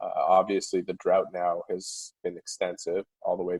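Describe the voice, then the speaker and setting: A man with a Montreal accent, recorded dry and close with no echo. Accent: Montreal English Canadian. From Quebec, Montreal (Town of Mount Royal). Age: 30s. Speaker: hockey reporter. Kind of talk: interview.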